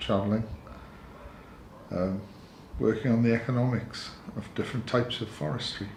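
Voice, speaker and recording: A man with a north Welsh accent, medium-pitched with a relaxed tone and fairly even intonation, at a moderate pace, with noticeable background noise and audible room echo. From north Wales, near Wrexham. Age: 60s. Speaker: cafe owner, retired lecturer. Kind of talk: documentary interview. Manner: relaxed, with fillers.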